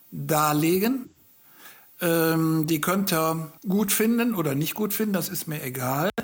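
A man talks in a high-pitched voice. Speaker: farmer and agricultural engineer, author. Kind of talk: interview. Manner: halting.

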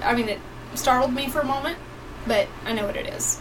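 Noticeable background noise and audible room echo surround a woman whose pitch is high. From East Tennessee (Johnson City). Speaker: podcast co-host. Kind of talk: casual live chat.

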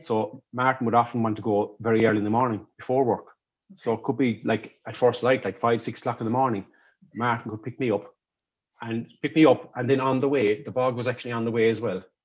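A man with a Kerry accent at a medium pitch, very fast and fairly even in intonation, over a quiet background. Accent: Kerry Irish. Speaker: artistic director of a folk theatre. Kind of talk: casual interview chat. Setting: video call. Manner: halting, many repetitions.

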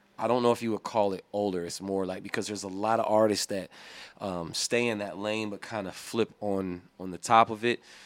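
Speaking at a fairly quick pace in an American accent, a man keeps a fairly low pitch with monotone, flat intonation. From Illinois. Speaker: hip hop artist. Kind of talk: casual interview chat.

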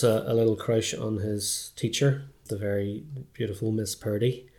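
A fairly low-pitched man with a Belfast accent and ordinary pitch variation. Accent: Belfast Northern Irish. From Northern Ireland, North Belfast. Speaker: filmmaker. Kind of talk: casual chat.

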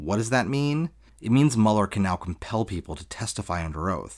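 A man with a normal speaking voice, fairly low pitch and lively intonation, in a very clean recording with a silent background. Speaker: podcast host. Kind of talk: scripted political commentary podcast.

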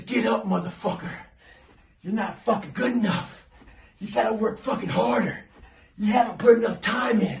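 A man whispers in a put-on character voice at a moderate pace. He takes long, frequent pauses. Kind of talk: crude, profane. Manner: whispering, harsh, berating.

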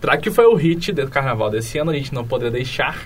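A man's animated voice with very wide pitch swings, a moderate pace and audible room echo. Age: 20s. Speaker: student podcast host. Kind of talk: casual podcast hosting.

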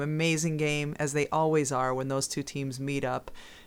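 A woman speaks with an American accent in a very deep, low voice, flat and monotone. Her pace is moderate, and the recording is very clean with a silent background. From US East. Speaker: podcast co-host. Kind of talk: casual chat.

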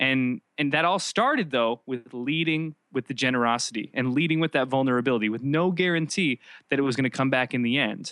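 A man's normal speaking voice at medium pitch, fairly quick with hardly any pauses, very even in loudness and ordinary in pitch variation. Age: 20s. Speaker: church media entrepreneur. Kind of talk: interview.

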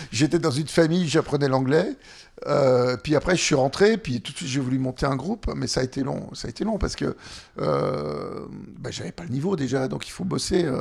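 With vocal fry, a man speaks at a fairly high pitch. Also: lively intonation, moderate pace. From France, Annecy (Haute-Savoie). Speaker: singer-songwriter. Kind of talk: interview.

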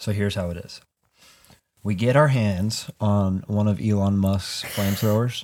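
This man has a plain, everyday voice, pitched fairly low, and talks at a moderate pace with fairly even intonation. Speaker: podcast host. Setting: basement home recording. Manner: casual, loud, swears often.

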